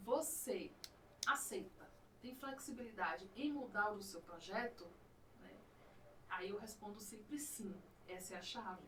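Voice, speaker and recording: A woman with a Bahian accent, fairly high-pitched, with lively intonation and a fairly slow pace broken by long, frequent pauses, plus audible room echo and noticeable background noise. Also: big swings in loudness. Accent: Bahian Brazilian Portuguese. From Bahia, Brazil. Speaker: podcast host, teacher. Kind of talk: casual chat.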